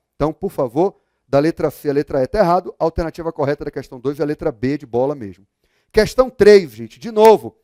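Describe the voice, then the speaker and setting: A man with a high pitch and a dark, mellow tone speaks at a fairly quick pace with lively intonation. The sound is dry and close with no echo, in a very clean recording with a silent background. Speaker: law exam prep teacher. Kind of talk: lecture.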